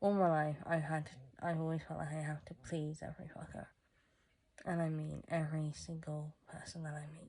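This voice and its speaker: A woman's very deep, low, somewhat breathy voice with a dark, mellow tone, monotone, flat intonation and a moderate pace. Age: 20s. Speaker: vlogger. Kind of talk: personal vlog monologue. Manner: halting, self-correcting.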